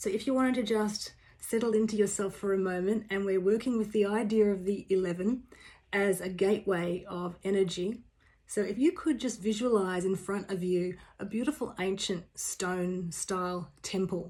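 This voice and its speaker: The recording is very clean, with a silent background. A woman speaks at a medium pitch and a moderate pace, her tone dark and mellow and her intonation fairly even. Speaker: spiritual teacher. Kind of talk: guided meditation.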